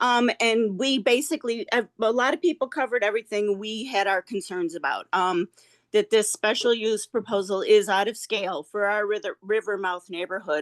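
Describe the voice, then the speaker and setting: A woman's fairly high voice at a moderate pace, with ordinary pitch variation, hardly any pauses, a dry, close sound with no echo and a quiet background. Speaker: neighbor giving public comment. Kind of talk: public comment at meeting. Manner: halting.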